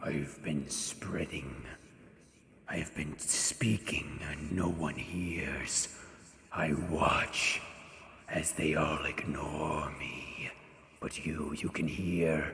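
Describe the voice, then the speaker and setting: Whispering in a put-on character voice, the speaker goes at a very slow pace with slight echo. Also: man. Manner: whispering, eerie.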